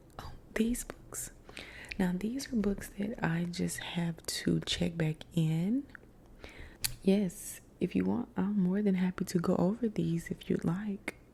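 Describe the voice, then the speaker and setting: A soft-spoken, somewhat breathy woman at medium pitch, with a dark, mellow and gentle tone, ordinary pitch variation and a very slow pace. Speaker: ASMR content creator doing a librarian roleplay. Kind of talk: ASMR roleplay, helpful library desk service. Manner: soft-spoken, gentle.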